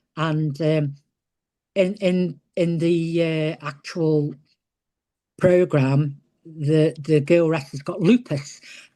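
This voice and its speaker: In an English accent, the speaker talks at a very slow pace with long, frequent pauses. The tone is dark and mellow, with fairly even intonation. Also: woman, very deep, low pitch for a woman, quiet background. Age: 60s. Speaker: retired professional wrestler. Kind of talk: interview.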